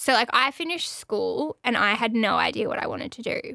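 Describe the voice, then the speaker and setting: Recorded with a dry, close sound and no echo, a woman speaks at a fairly quick pace in a bright, sharp tone with fairly high pitch. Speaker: podcast host and radio station staffer. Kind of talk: casual chat. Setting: studio.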